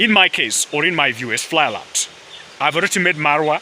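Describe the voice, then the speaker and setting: A man with an East African accent, lively intonation and a moderate pace, over noticeable background noise. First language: Swahili. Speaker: vlogger. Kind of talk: casual vlog monologue. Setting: outdoors in a forest. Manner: halting, many fillers.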